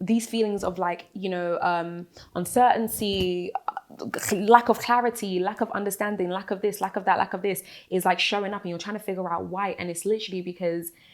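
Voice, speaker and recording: Noticeable background noise sits behind a woman's voice. She speaks at a fairly quick pace with fairly even intonation. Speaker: talk show host. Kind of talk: motivational faith talk. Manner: casual, conversational.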